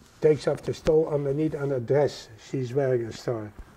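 A man is speaking. He has a Dutch accent. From Netherlands. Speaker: Holocaust survivor. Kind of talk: oral history interview answer.

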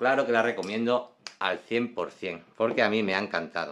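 A man speaks fairly slowly at a medium pitch in an unremarkable speaking voice. The background is quiet. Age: 40s. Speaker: perfume reviewer. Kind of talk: product review video. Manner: casual, frequent fillers.

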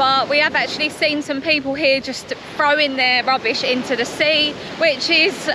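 A woman's raised, projected voice at a moderate pace, fairly even in intonation, dry with no echo, over noticeable background noise. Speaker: travel vlogger. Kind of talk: casual vlog chat. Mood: sad, concerned about plastic. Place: beach. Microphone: phone near.

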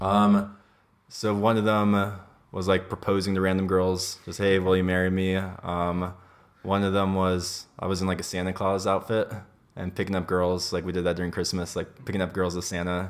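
A man with a Californian accent talks in a very deep, low voice with monotone, flat intonation. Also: moderate pace. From US, Los Angeles. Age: 20s. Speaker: podcast guest. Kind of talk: casual chat. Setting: kitchen. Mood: candid, relaxed. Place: home room.

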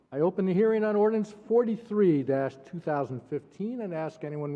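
Moderate pace, ordinary pitch variation and a plain, everyday voice from a man. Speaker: mayor. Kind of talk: chairing a council meeting.

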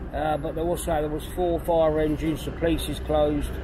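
Crowd noise fills the background as a man speaks, the sound dry with no echo. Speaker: walking tour vlogger. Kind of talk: casual walking commentary. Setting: outdoors. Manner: subdued, not upbeat. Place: street. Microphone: phone near.

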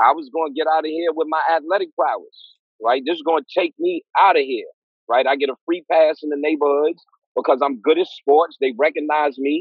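A man with a New York accent talks at a fairly quick clip in a fairly high voice for a man, his intonation fairly even, the sound dry with no echo over a quiet background. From East New York, Brooklyn; Brooklyn, New York. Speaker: clinical psychologist; guest, educator. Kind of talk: interview. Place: home room. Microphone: video call.

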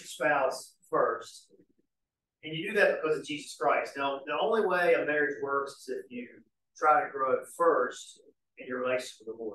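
Recorded with audible room echo, a man speaks at a moderate pace with long, frequent pauses and big swings in loudness. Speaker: church study class teacher. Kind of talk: bible study lecture. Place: church. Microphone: camera far.

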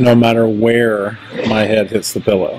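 A man is speaking. Light background noise can be heard. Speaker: vlogger. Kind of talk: casual vlog chat. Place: shop. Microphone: phone near.

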